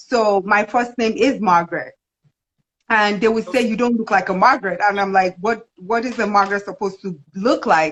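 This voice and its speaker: Speaking with a Nigerian accent, a woman uses a medium pitch and ordinary pitch variation at a moderate pace. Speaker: video host. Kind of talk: casual chat.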